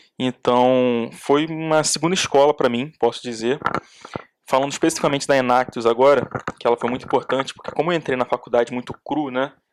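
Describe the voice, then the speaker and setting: A man with an unremarkable speaking voice speaks at medium pitch, with a dry, close sound with no echo. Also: fairly quick pace. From Brazil, Duque de Caxias (Rio de Janeiro state). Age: 20s. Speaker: petroleum engineering student. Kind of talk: podcast interview.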